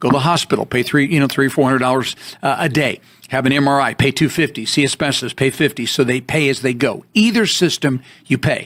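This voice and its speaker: A man with a fairly high pitch, a very fast pace and very even loudness. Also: ordinary pitch variation. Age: 65+ (on Medicare). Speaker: radio call-in show host. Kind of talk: call-in advice show.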